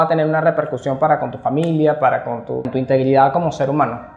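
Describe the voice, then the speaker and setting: Over noticeable background noise, a man with a Caracas accent talks at a fairly high pitch. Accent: Venezuelan Spanish, Caracas. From Venezuela, Caracas and Guarenas. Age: 40s. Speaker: human rights activist. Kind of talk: interview testimony. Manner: hesitant, with fillers.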